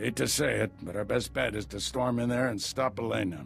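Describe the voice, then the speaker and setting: A man puts on a raspy character voice, fairly low-pitched, with very wide pitch swings and a fairly quick pace over clear background music. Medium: video game. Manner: dry wit.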